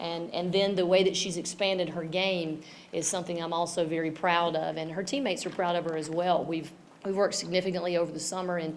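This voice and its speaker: A woman with a Tennessee accent speaks fairly quickly in a monotone, flat way, with audible room echo. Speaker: women's basketball head coach. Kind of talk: press conference.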